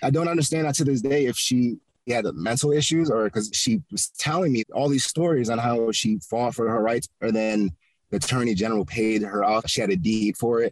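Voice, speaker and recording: An ordinary speaking voice with an American accent and ordinary pitch variation holds very even loudness, heard as a dry, close sound with no echo. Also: man, medium pitch for a man, fairly quick pace. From Connecticut. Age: 20s. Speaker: real estate investor. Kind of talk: interview. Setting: outdoors in a park.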